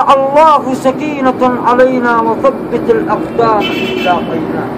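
Against noticeable background noise, a man speaks at an extremely high pitch and a very slow pace, with ordinary pitch variation. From Yemen. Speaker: street preacher and chanter. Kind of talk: religious sermon. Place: home room. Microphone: phone near.

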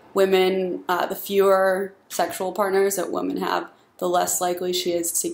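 A woman speaks at a fairly slow pace in a shaky voice. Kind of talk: casual opinion talk to camera.

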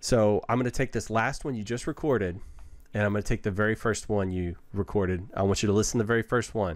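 A man's very fast speech, fairly low in pitch, with ordinary pitch variation. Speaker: podcast host and IT instructor; podcast guest. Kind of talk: casual chat. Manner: switches into a polished instructional narration voice. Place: home room. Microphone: earbuds.

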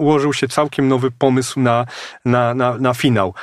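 Recorded with a dry, close sound and no echo, a man has an unremarkable speaking voice, medium pitch and a moderate pace. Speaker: novelist. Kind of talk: interview.

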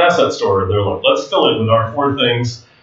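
Audible room echo follows a man who talks at a very fast pace. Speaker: conference presenter. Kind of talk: lecture. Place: hall.

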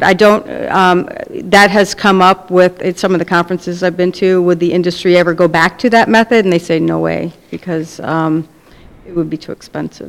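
Her pitch is fairly low for a woman. She moves at a fairly quick pace with monotone, flat intonation. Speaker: waste management official. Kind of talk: presentation to council. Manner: hesitant, many fillers.

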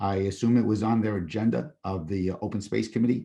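Fairly low-pitched male voice with a dark, mellow tone, fairly even intonation and a fairly quick pace. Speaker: public commenter at council meeting. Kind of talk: public comment. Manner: halting.

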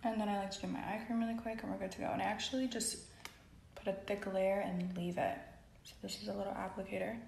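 The speech races along at a very fast pace. There is light background noise and audible room echo. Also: woman. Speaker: beauty vlogger. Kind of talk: casual skincare tutorial chat. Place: bathroom. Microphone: phone near.

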